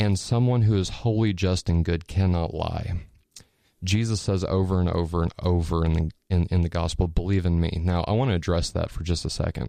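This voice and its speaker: With an American accent, a man speaks at a fairly quick pace in a very deep, low pitch, using a dark, mellow tone and ordinary pitch variation. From Indiana, US Midwest. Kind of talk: testimony and theology discussion. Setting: radio studio. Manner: animated.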